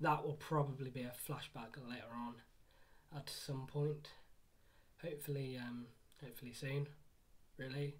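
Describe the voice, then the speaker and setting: The delivery is quiet and moves at a moderate pace. Long pauses come often. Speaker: anime manga reviewer. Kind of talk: casual video review. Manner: halting, many fillers.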